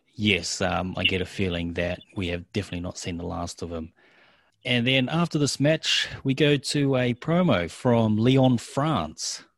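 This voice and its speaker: Fairly slow delivery with very wide pitch swings, on a very clean recording against a silent background. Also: man, medium pitch for a man. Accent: New Zealand. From New Zealand. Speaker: wrestling podcast co-host. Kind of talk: casual chat.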